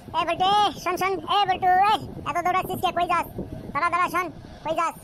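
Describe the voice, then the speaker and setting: A woman uses a cartoonish character voice, extremely high-pitched, very fast and flat in intonation. Clear background noise runs underneath. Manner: rustic, scolding.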